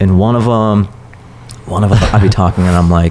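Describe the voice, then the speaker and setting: Noticeable background noise sits behind this recording. A man with an American accent speaks in a very deep, low voice with fairly even intonation. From US Pacific Northwest, small town. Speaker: stand-up comedian. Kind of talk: casual chat.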